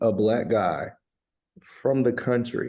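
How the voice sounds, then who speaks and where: Very slowly, a man with a Southern US accent speaks in a dark, mellow tone. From US South, North Carolina (Bahama, near Durham). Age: middle-aged. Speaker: country and rock singer. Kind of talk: casual interview.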